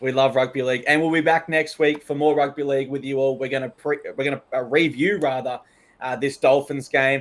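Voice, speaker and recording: A man's fairly high voice with an Australian accent, fairly quick and flat in a monotone. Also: very clean recording, silent background. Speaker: sports podcast co-host. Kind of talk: casual chat.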